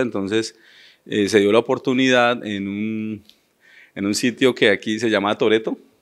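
With a quiet background behind him, the man keeps a moderate pace and ordinary pitch variation. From Colombia, Florencia, Caquetá; Caquetá, Colombia. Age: 30s. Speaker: mayoral candidate; candidate. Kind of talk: interview. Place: studio. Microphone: handheld.

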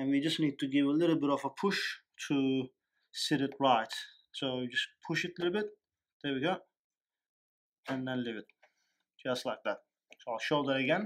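A man at a fairly quick pace with ordinary pitch variation, over a quiet background. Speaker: technician demonstrating equipment. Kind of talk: tutorial. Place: office. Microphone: phone near.

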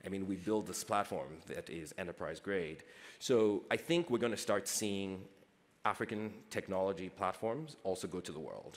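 A man with a fairly low pitch speaks at a moderate pace in an American accent. His pitch varies in an ordinary way. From Nigeria. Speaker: startup founder and CEO; panelist. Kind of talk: panel discussion. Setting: stage with audience. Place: stage. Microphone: headset.

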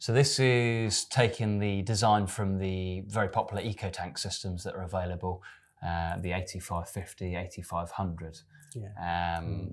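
Delivery is fairly slow. The intonation remains fairly even. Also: man. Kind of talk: product explanation chat. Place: studio.

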